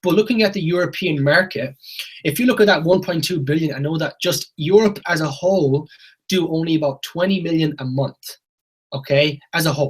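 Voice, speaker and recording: This man speaks with a western Irish accent. His pitch is fairly high, with ordinary variation. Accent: Irish (west of Ireland). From Ireland, Galway. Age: 20s. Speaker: network marketing presenter. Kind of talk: sales pitch. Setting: video call.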